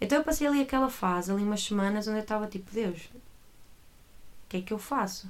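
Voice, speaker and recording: Barely pausing, a woman with a fairly high voice talks at a fairly quick pace with ordinary pitch variation. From northern Portugal, Porto area. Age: 20s. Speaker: church worker, former teacher. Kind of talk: casual chat.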